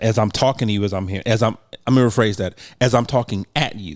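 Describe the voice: Speaking fairly quickly, the man uses a fairly low pitch and ordinary pitch variation.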